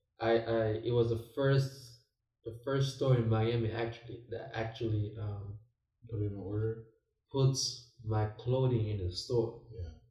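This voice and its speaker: A man speaks at a fairly slow pace with a medium pitch and fairly even intonation. His tone is dark and mellow, and somewhat breathy. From Nigeria. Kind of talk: casual chat.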